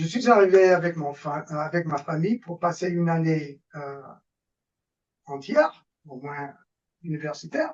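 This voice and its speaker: This man talks at a very slow pace with a high pitch. He speaks with an American accent. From US Northeast, New York. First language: English (speaking French). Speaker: political science professor. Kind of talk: lecture. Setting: webinar video call. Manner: halting, many hesitations.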